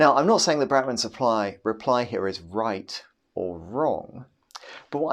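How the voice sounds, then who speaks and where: Spoken at a moderate pace, this is an ordinary speaking voice with lively intonation. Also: man. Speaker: philosophy lecturer. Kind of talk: recorded lecture.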